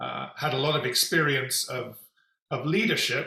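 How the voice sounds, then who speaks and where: A man talks fairly slowly, his pitch moving in an ordinary way. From England, London. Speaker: executive coach and company founder. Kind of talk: interview.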